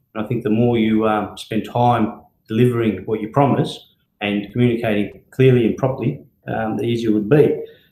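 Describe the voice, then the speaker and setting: The speech moves at a fairly quick pace with fairly even intonation, in an Australian accent. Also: man, medium pitch for a man. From Melbourne, Australia (from Greece at ten). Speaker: company director and brand ambassador. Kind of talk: live Q&A session. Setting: live video stream. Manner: hesitant, many fillers.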